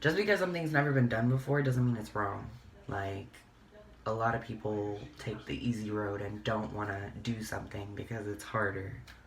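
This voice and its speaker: A man at medium pitch and a moderate pace, with ordinary pitch variation, noticeable background noise and audible room echo. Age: 20s. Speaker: beauty vlogger. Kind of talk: casual get-ready-with-me chat.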